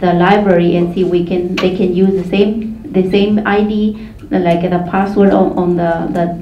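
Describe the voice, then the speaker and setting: Amid noticeable background noise and audible room echo, a woman with a Mexican accent speaks at a medium pitch with fairly even intonation. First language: Mazahua. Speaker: community organizer. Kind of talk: panel discussion. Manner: halting.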